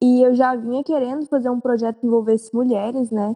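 A woman speaks in a dark, mellow tone at a fairly high pitch, her intonation monotone and flat, with a dry, close sound and no echo. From Goiânia, Brazil. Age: 18. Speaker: medical student. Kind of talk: casual chat.

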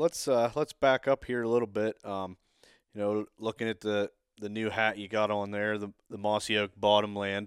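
In a very clean recording with a silent background and a dry, close sound with no echo, a man with an unremarkable speaking voice and a fairly low pitch talks at a moderate pace with fairly even intonation. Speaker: podcast host, turkey hunter. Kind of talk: casual chat, interview.

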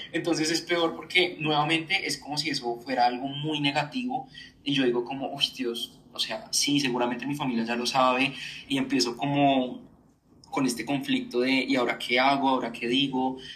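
Noticeable background noise behind speech of moderate speed and ordinary pitch variation. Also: man, fairly high pitch for a man. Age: 20s. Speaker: journalist and communicator. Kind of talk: personal testimony in interview.

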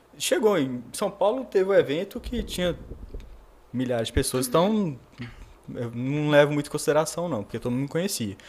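A man with a fairly high pitch talks at a fairly quick pace, with very wide pitch swings and long, frequent pauses. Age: 30s. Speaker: psychiatrist. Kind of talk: casual chat.

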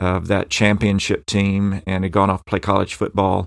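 A man with an American accent and a fairly low pitch at a fairly quick pace, in a very clean recording with a silent background. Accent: strong Southern US, somewhat blunted. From western Tennessee, US South. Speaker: professor. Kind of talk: interview, personal storytelling.

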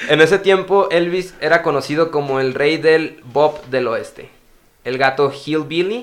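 A man uses a normal speaking voice, fairly high in pitch with ordinary pitch variation. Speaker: podcast host. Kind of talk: reading aloud.

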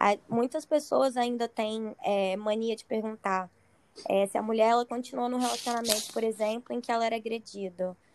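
A woman with a normal speaking voice, fairly high in pitch, at a moderate pace with ordinary pitch variation. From Espírito Santo. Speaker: psychologist. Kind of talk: casual chat.

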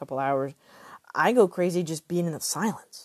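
A woman speaks in a Texan accent at a moderate pace. The sound is dry and close with no echo. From Texas. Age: 30s. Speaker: podcaster, suicide survivor. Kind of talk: personal testimony. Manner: halting.

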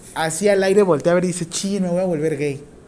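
A man with a high pitch talks at a fairly quick pace. His intonation is fairly even over noticeable background noise. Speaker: nursing professor. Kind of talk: classroom lecture. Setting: classroom with students. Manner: informal, joking.

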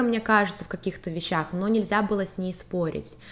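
A woman with a plain, everyday voice talks at a fairly quick pace and a medium pitch. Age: 20s. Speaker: marketing student, consultant and part-time model. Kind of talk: personal testimony in casual interview.

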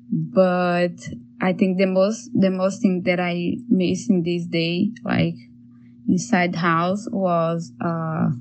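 Speaking with a Portuguese accent, a woman talks very slowly in a fairly low pitch with ordinary pitch variation. Echo from the room is audible. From Brazil. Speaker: artist. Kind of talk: recorded testimony.

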